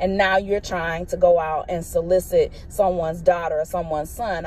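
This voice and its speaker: A woman speaks at a moderate pace in an animated tone, with noticeable background noise. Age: 50s. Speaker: vlogger. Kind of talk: casual monologue vlog. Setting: in a car.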